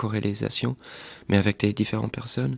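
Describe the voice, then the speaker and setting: A man with a fairly low pitch and ordinary pitch variation talks at a moderate pace in a dry, close sound with no echo, in a very clean recording with a silent background. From Portuguese family, grew up mostly in Washington DC. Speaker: film director. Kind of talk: interview. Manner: hesitant, many fillers.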